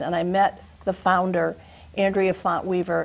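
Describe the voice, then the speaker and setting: Speaking fairly slowly in a normal speaking voice, a woman with an American accent keeps a medium pitch and fairly even intonation. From western Massachusetts (Chicopee). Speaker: retired teacher, program volunteer. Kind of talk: TV interview.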